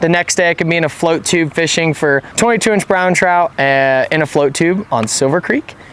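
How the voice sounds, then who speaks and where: A man's fairly high voice with ordinary pitch variation at a moderate pace, amid noticeable background noise. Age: 20s. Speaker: fishing guide. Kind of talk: product review vlog. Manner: casual, conversational.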